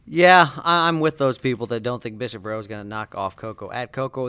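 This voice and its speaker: A man has a normal speaking voice at medium pitch. He talks at a fairly quick pace with ordinary pitch variation. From Indiana. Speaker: sports journalist and podcast co-host. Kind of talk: casual sports podcast chat.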